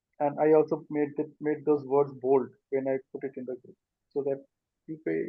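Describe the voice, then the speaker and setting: A man's fairly high-pitched voice, monotone and flat in intonation, with big swings in loudness. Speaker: life coach and group meeting host. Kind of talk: online group discussion. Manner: code-switching Hindi and English.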